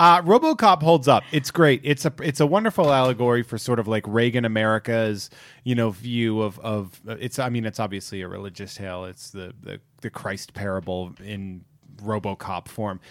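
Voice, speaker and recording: On a very clean recording with a silent background, a normal speaking voice shows lively intonation and big swings in loudness at a moderate pace. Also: man, medium pitch for a man. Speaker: podcast guest. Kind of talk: casual chat.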